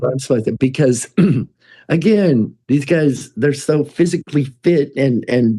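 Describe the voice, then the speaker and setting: A man's fairly high-pitched voice at a fairly slow pace, with ordinary pitch variation. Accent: American. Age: 60s. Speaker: musician. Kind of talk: casual chat. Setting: studio. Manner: halting.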